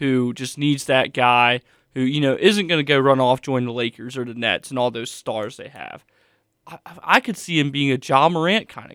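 The speaker is a man with an unremarkable speaking voice and ordinary pitch variation. His pitch is medium and his pace moderate. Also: very clean recording, silent background. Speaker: college student co-host. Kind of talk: casual sports chat.

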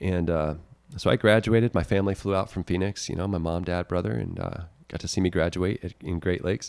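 A man with an American accent talks very fast at a very deep, low pitch, with ordinary pitch variation and a dry, close sound with no echo in a very clean recording with a silent background. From Texas. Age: 30s. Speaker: war veteran. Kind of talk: interview.

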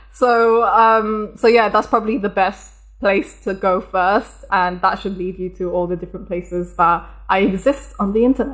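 With an English accent, a woman talks with fairly even intonation. She takes hardly any pauses. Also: medium pitch for a woman, moderate pace. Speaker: software developer. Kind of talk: interview.

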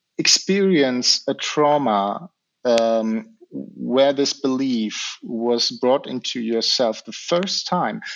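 Speaking with a German accent, a man goes at a very slow pace with very wide pitch swings. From Germany. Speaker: hypnotherapist. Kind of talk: interview. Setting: video call.

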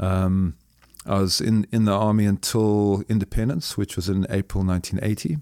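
On a very clean recording with a silent background, a man with a Zimbabwean accent speaks at a moderate pace in a fairly low pitch and dark, mellow tone, with fairly even intonation, very even loudness, and a dry, close sound with no echo. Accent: deep Zimbabwean. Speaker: businessman and former soldier. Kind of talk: interview. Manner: halting, with many repetitions.

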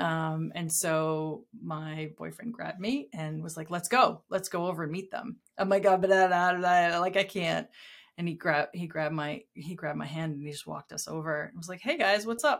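Speaking in a plain, everyday voice with an American accent, a woman at fairly low pitch moves at a moderate pace with ordinary pitch variation and big swings in loudness, in a very clean recording with a silent background. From US Northeast (southern New Hampshire). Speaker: designer and professor. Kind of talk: casual chat. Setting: host's house.

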